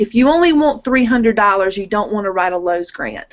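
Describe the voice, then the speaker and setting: A woman's normal speaking voice, fairly high in pitch and at a fairly quick pace. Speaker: teacher presenting on grant writing. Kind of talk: presentation over video call.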